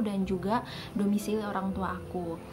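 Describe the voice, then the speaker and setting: A woman talks at a fairly quick pace and a medium pitch, her intonation flat and monotone. The room echo is audible, and background noise is noticeable. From Java, then NTT from junior high. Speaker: vlogger. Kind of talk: casual vlog storytelling. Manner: chatty, conversational.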